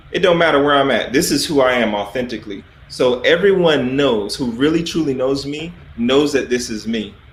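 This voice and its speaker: Amid noticeable background noise and audible room echo, a man speaks at a fairly high pitch with ordinary pitch variation. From US South, South Carolina. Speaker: army officer. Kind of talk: interview. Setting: livestream.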